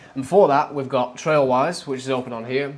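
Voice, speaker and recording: Against noticeable background noise, a man with a medium-pitched voice talks at a very fast pace with fairly even intonation. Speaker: overlanding vlogger. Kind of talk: casual vlog narration. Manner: casual, hesitant fillers.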